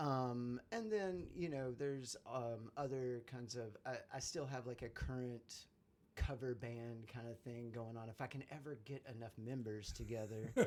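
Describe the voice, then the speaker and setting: At a fairly slow pace, a man with an American accent speaks at medium pitch with fairly even intonation. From southern West Virginia / Virginia. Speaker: musician. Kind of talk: interview. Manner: halting, many fillers.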